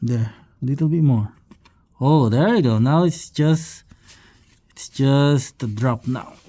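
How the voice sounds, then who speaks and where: A man with a non-native accent, fairly high-pitched for a man, dark and mellow in tone, at a very slow pace with long, frequent pauses. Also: ordinary pitch variation. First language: not English. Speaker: DIY car maintenance video host. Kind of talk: tutorial. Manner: halting, many fillers.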